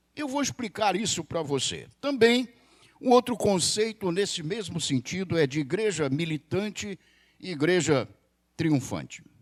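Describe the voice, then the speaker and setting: A man speaks in a high voice at a fairly slow pace. His pitch swings very widely. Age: 60s. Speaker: pastor. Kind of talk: sermon.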